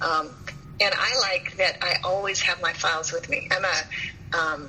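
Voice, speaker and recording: Noticeable noise sits in the background. Her delivery, a woman's, is fairly slow. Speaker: professional organizer. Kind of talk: interview.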